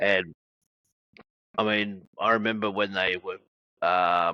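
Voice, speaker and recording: Very slow, monotone, flat delivery from a man with an Australian accent and a fairly low pitch. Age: 60s. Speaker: wrestling podcast host. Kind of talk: interview. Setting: video call.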